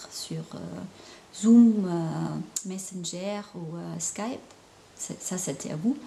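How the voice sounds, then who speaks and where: A woman talks very slowly, and noticeable background noise can be heard throughout. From Germany. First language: German (speaking French). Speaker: intuitive painter and spiritual counselor. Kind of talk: casual vlog monologue. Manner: halting, many hesitations.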